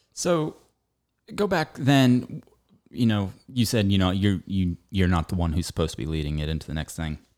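A man with a very deep, low pitch talks at a moderate pace with very wide pitch swings, in a very clean recording with a silent background. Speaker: podcast host. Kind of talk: casual chat. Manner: halting.

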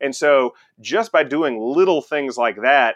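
A man speaks with an American accent in an unremarkable speaking voice. His pitch is fairly high, with ordinary pitch variation. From Texas (Conroe, near Houston). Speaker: radiologist, department chair. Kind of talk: interview conversation.

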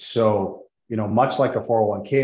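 A man speaks in a normal speaking voice with an American accent. His pitch is fairly low, with ordinary pitch variation. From US Intermountain West. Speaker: business development director for a tax-advantaged insurance plan administrator. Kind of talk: interview, explaining a financial product.

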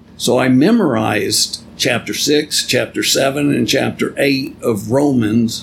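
Over noticeable background noise, a man speaks at a fairly slow pace with hardly any pauses and very even loudness. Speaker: podcast host and Bible teacher. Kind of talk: religious teaching podcast, casual with spoof intro.

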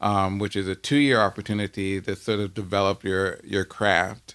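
In an unremarkable speaking voice, a man talks at a moderate pace and a fairly low pitch on a very clean recording with a silent background. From US, Washington DC. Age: 40s. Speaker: musician and composer. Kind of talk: casual interview.

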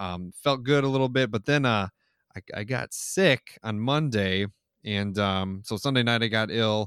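A man talks at a fairly slow pace with a fairly low pitch. The recording is very clean with a silent background, and the sound is dry and close with no echo. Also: ordinary pitch variation. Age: 20s. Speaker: podcast co-host documenting weight loss. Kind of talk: casual chat. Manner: hesitant, many fillers.

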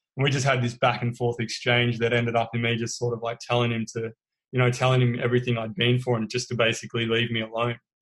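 In an Australian accent, a man rattles off words at a very fast pace, medium in pitch and monotone with flat intonation. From Australia, Melbourne. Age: 30s. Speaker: guest sharing recovery story. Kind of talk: interview testimony.

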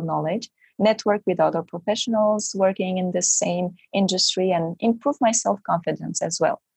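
This woman's voice sits at a medium pitch, somewhat breathy, with fairly even intonation at a moderate pace. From Romania. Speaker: MBA student's spouse. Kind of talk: interview.

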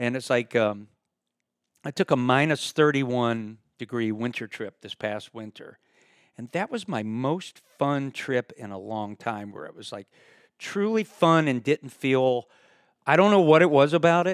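Heard dry and close with no echo, a man with a medium pitch and lively intonation speaks at a fairly slow pace, his loudness rising and falling sharply. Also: very clean recording, silent background. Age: 60s. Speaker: retired circus performer and YouTuber. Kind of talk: casual chat.

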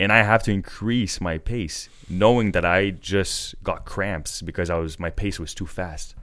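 A man speaks at a fairly slow pace with hardly any pauses, in an ordinary speaking voice. His pitch is fairly low, with ordinary pitch variation. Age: 20s. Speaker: record-setting athlete and businessman. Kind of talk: casual interview.

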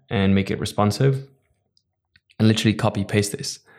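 A man's fairly low voice with a Dutch accent and fairly even intonation. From Netherlands. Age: 20s. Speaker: entrepreneur. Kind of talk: interview.

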